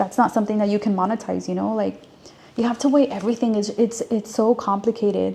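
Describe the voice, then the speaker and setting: Speaking very fast in a fairly high voice, a woman with a Spanish accent keeps a monotone, flat intonation. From US, child of Mexican and Guatemalan immigrants. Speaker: career advice vlogger. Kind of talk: casual advice monologue. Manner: casual, many fillers and repetitions.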